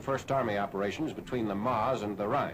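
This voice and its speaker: With noticeable background noise behind him, a man speaks at a fairly quick pace with ordinary pitch variation. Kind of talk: newsreel narration.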